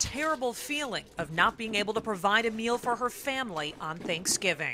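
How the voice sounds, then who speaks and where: Noticeable background noise behind a woman with a fairly high pitch, a fairly quick pace, and very wide pitch swings. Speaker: TV news reporter. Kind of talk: news report narration.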